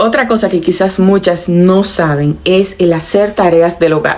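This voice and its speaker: A woman at a medium pitch, speaking at a moderate pace. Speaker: lifestyle vlogger. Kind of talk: personal advice monologue. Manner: moderated, calm tone.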